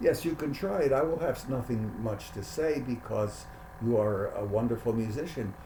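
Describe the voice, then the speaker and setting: A man talks at a moderate pace with a medium pitch and lively intonation. Room echo is audible. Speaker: piano teacher and art commentator. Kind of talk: casual chat. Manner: slurred at times; halting, repeats words.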